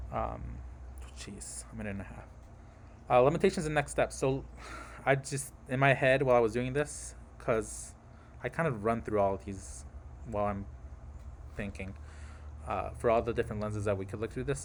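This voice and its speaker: A man with a fairly low pitch and vocal fry swings very widely in pitch, leaving long, frequent pauses. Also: big swings in loudness. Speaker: graduate student presenting research. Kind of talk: class presentation. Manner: fast.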